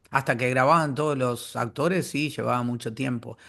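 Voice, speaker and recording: Bright and sharp in tone, this man's voice sits at medium pitch. He keeps a moderate pace with fairly even intonation. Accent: Argentine. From Argentina. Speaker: voice actor. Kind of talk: interview answer.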